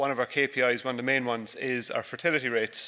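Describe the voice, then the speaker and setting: With an Irish accent, a man talks at a fairly quick pace in a medium pitch, his tone bright and sharp and his intonation fairly even. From Ireland. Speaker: dairy farmer. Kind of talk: conference presentation. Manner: halting, many fillers.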